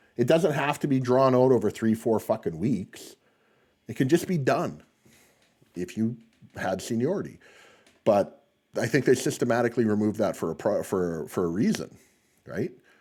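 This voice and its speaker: A man talks at a fairly quick pace in a dark, mellow tone with vocal fry and very wide pitch swings. The recording is very clean, with a silent background. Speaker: tradesman vlogger. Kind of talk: casual monologue vlog. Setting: livestream.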